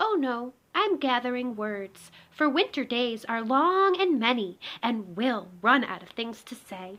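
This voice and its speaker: In a put-on character voice, a woman speaks at a high pitch and a fairly slow pace against a quiet background. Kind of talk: bedtime story. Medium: read story. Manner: gentle, dreamy.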